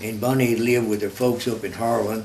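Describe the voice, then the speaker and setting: A man with a Kentucky accent speaks at a medium pitch in a monotone, flat intonation, with audible room echo and noticeable background noise. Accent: southern US (Kentucky). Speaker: war veteran. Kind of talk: interview testimony. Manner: halting, many fillers and repeats.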